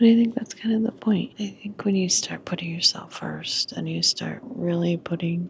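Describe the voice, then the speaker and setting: A woman whispers at a moderate pace. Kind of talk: whispered personal vlog talk to camera. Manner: whispered.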